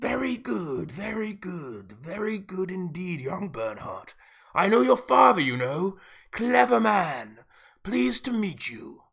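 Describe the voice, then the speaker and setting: A man puts on a character voice, speaking at a high pitch and a fairly slow pace. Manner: steely, sly.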